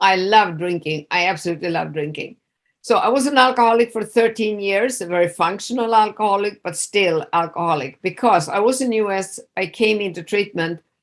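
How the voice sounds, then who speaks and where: Speaking at a fairly quick pace with hardly any pauses, a voice with a Swedish accent shows ordinary pitch variation on a very clean recording with a silent background. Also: woman, medium pitch for a woman. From Sweden. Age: 60s. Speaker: addiction specialist. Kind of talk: interview. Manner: casual, hesitant with fillers.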